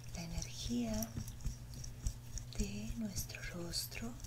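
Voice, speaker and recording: Soft-spoken and gentle in tone, a woman talks at a very slow pace amid loud background noise. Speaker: ASMR creator. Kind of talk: soft ASMR role-play narration. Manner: gentle soft-spoken ASMR voice. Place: home room.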